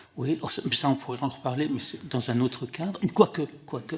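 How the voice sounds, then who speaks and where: Somewhat breathy, fairly slow speech in a Russian accent. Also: man. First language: Russian (speaking French). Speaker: literary translator. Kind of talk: testimony at a hearing. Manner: halting, many hesitations.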